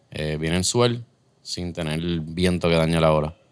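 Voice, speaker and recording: The speaker talks at a moderate pace with a Puerto Rican accent. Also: man. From Puerto Rico. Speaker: head brewer. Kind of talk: casual chat.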